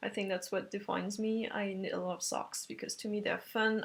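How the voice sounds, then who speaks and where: Music plays in the background as a woman speaks with a French accent. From France. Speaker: knitting podcaster. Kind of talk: casual podcast monologue. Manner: hesitant, many fillers.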